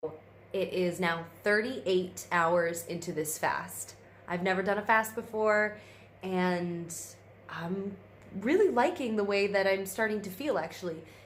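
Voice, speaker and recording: A woman's medium-pitched voice with ordinary pitch variation, plus audible room echo. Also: fairly slow pace. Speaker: vlogger. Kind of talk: casual vlog. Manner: rambling with fillers.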